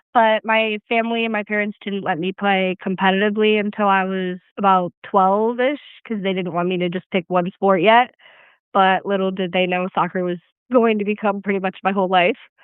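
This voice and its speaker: A woman with an American accent has a plain, everyday voice, a medium pitch, fairly even intonation and a fairly quick pace. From Michigan. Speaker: soccer player. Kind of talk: interview.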